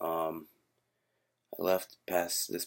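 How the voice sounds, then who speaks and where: A quiet male voice. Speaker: vlogger. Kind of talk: casual vlog. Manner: quiet, hushed; hesitant, many fillers.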